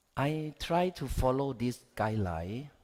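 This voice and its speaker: A man speaks at a very slow pace with a Thai accent. His intonation is lively. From Thailand. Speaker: education researcher. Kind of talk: conference talk.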